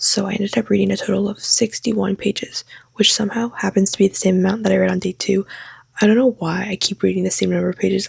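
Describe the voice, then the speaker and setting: A quiet, whispering woman at a very fast pace, the sound dry and close with no echo. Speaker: book vlogger. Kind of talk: vlog monologue. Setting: home, late at night. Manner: whispering, quiet.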